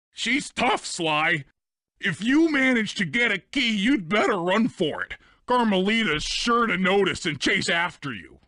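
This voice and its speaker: A put-on character voice, raised and projected, at a moderate pace with lively intonation and a quiet background. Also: man, high pitch for a man. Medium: video game.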